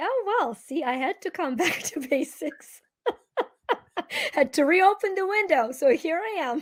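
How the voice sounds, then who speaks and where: A woman with an extremely high pitch and very wide pitch swings, at a fairly slow pace with long, frequent pauses. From Ukraine. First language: Ukrainian. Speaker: energy healer and speaker. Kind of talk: interview.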